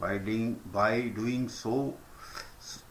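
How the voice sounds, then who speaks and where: With an Indian accent, a man speaks at a very slow pace and medium pitch. Audible room echo fills the recording. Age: old. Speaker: senior citizen recounting history. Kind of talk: reading a prepared letter.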